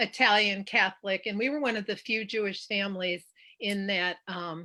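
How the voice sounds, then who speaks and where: Speaking with an American accent, a woman uses a medium-pitched voice with a bright, sharp tone, a moderate pace and fairly even intonation. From US Midwest, Chicago area (Oak Park, Illinois). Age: 60s. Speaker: author and professor. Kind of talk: interview. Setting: video call from home.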